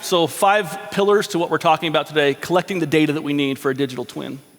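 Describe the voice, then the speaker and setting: Talking at a very fast pace, a man with a high pitch and ordinary pitch variation comes through over noticeable background noise. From Alaska, Anchorage. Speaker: engineering consultant. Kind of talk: conference presentation.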